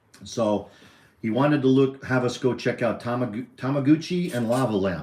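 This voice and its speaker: With lively intonation, a man speaks at a moderate pace and a medium pitch. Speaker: dog owner co-hosting a livestream. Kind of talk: casual chat. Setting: livestream. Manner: rambling, talkative.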